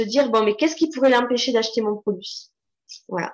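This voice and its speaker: The pitch variation here is ordinary. The speaker is a woman. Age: 40s. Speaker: copywriter. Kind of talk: casual interview.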